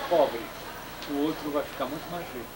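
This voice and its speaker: A man speaks over loud background noise. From Brazil. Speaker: filmmaker. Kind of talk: interview answer. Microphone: old recording.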